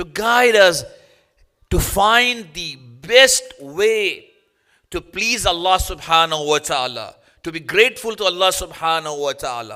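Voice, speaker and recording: A raised, projected voice with a bright, sharp tone moves at a fairly slow pace, its intonation lively and its loudness swinging widely. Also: man, high pitch for a man. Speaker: Islamic cleric. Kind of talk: sermon. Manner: halting.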